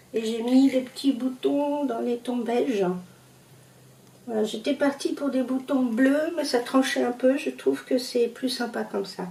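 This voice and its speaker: This woman's voice sits at a high pitch. She talks at a fairly slow pace. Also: ordinary pitch variation. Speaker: sewing youtuber. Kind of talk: sewing tutorial. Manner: hesitant, many fillers; casual, conversational.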